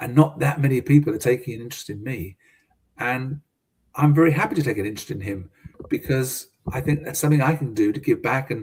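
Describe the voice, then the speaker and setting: At a very fast pace, a man with a British accent talks in a fairly high, somewhat breathy voice with ordinary pitch variation. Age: 70s. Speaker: business consultant and mentor. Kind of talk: casual interview. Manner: halting, many fillers and repetitions.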